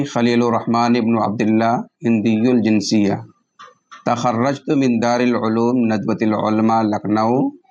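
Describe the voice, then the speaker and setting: A man speaks at a medium pitch. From India, Delhi. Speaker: Islamic teacher. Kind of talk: self-introduction. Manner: formal.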